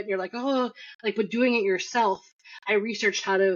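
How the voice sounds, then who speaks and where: A woman at a very fast pace, medium in pitch, with ordinary pitch variation. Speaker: marketing agency founder. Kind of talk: interview.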